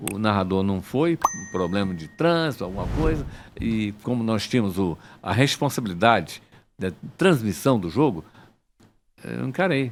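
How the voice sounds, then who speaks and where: Very wide pitch swings in a medium-pitched male voice, delivered at a moderate pace. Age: 70s. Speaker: sports journalist and radio broadcaster. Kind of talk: interview.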